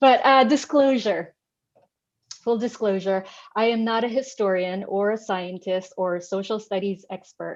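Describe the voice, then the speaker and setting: A woman with a Filipino accent speaks at medium pitch and a moderate pace, with ordinary pitch variation. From Philippines. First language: Tagalog. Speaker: artist. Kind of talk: artist talk.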